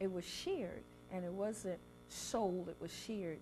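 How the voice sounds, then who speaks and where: Over music in the background, a woman with an American accent speaks at a very slow pace, her medium pitch showing ordinary variation. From South Carolina Lowcountry. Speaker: chef and cookbook author. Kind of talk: interview answer.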